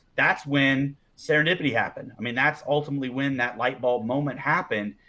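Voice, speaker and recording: With an ordinary speaking voice, a man talks at a fairly quick pace and a fairly high pitch. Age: 40s. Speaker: networking organization co-founder, former banker. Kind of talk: podcast interview conversation.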